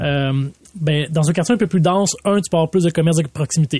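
Speaking with a Quebec accent, a man talks fairly quickly in a fairly high voice with a dark, mellow tone. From Laval, Quebec. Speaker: city mayor. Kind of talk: interview. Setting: studio.

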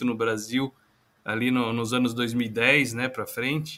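Bright and sharp in tone, the man's voice rests at a medium pitch. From Brazil, interior of São Paulo (Itapeva). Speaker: engineer and startup founder. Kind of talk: interview. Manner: hesitant, many fillers.

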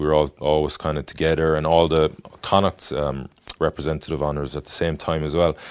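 A man with a west of Ireland accent talks at a fairly quick pace in a very deep, low pitch. The background is quiet. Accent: west of Ireland Irish. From Ireland, Galway City. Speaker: former rugby player and adventurer. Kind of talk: interview. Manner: halting, many fillers.

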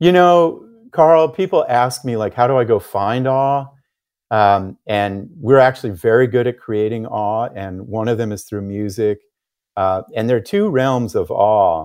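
A man with an American accent in a normal speaking voice, medium pitch, lively intonation and a fairly slow pace, against a quiet background. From United States. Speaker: psychologist and author. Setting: remote interview.

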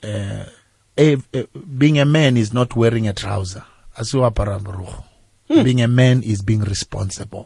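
A man with a medium pitch and a somewhat breathy voice speaks at a fairly slow pace, with ordinary pitch variation and long, frequent pauses. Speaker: gospel artist. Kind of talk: radio interview. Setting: radio studio.

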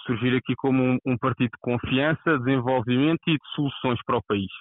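A man at a moderate pace with very even loudness and fairly even intonation. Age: 20s. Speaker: youth party leader candidate. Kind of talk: interview. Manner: halting.

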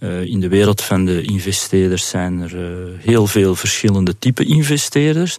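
Moving at a moderate pace, a man with an ordinary speaking voice talks at a fairly low pitch with ordinary pitch variation. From Flanders, Belgium. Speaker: business owner. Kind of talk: interview.

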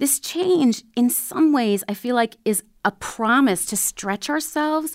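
A woman with an unremarkable speaking voice, lively intonation and a moderate pace, in a dry, close sound with no echo and a very clean recording against a silent background. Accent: American. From Minnesota, small town south of the Twin Cities. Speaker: public radio general manager. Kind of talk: interview.

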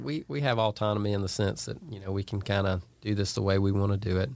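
Recorded very cleanly against a silent background, a man with a Georgia accent speaks at fairly low pitch with ordinary pitch variation. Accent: US Southern (Georgia). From Northeast Georgia, Franklin County. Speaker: clothing brand owner. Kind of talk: casual interview.

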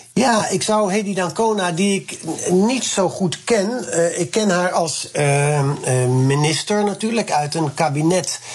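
Amid noticeable background noise, a man with a high pitch talks at a very slow pace with ordinary pitch variation. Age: 60s. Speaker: politician. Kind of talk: radio interview. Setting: remote call.

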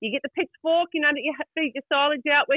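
A woman speaks fairly quickly in an animated tone at a high pitch. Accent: New Zealand. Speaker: caller. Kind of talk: casual chat. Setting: phone call.

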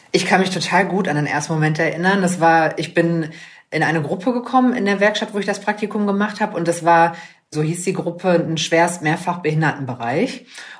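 At a moderate pace, a woman with a normal speaking voice talks at a fairly low pitch with ordinary pitch variation. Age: 20s. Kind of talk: interview. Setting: video call.

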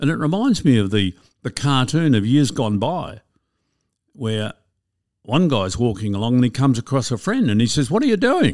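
Lively in intonation, a man with an Australian accent and medium pitch talks at a moderate pace with long, frequent pauses. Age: 70s. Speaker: retirement coach and former financial advisor. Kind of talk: interview.

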